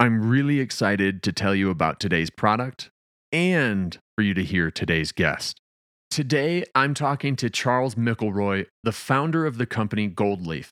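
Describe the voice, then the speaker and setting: Very wide pitch swings ride on very even loudness at a moderate pace, in a very clean recording with a silent background and a dry, close sound with no echo. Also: man, fairly low pitch for a man. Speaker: podcast host. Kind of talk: casual chat, solo intro. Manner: friendly, conversational.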